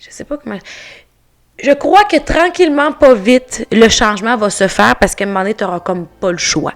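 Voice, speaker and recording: At a moderate pace, a woman with a fairly high voice swings very widely in pitch and greatly in loudness. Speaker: artist. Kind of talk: podcast interview.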